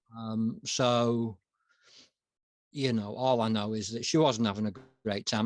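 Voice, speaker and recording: In a Yorkshire accent, a man with a medium pitch speaks at a moderate pace with fairly even intonation and long, frequent pauses, on a very clean recording with a silent background. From West Yorkshire, England. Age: 40s. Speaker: consultant and writer. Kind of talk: interview. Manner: halting.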